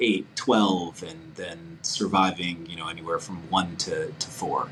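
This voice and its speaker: With an American accent, a man speaks at a very slow pace in a very deep, low pitch, with noticeable background noise. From New York (Brooklyn, Long Island). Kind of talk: casual chat. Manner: halting, many repetitions.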